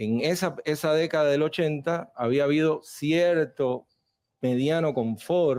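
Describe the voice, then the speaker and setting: A man with a Cuban accent and a dark, mellow tone, at a very slow pace, in a very clean recording with a silent background. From Cuba, Cienfuegos. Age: 30s. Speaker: Cuban emigrant debating on TV. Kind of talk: televised debate. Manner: animated.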